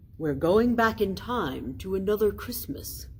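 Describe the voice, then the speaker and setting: A put-on character voice with a warm tone and middle pitch moves at a moderate pace over clear background noise. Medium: read story. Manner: jolly, warm.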